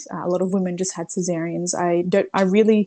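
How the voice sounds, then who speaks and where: A woman talks at a very fast pace in an Australian accent. Her intonation stays fairly even. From Brazil. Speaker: mother sharing birth story. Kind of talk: interview. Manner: hesitant, many fillers.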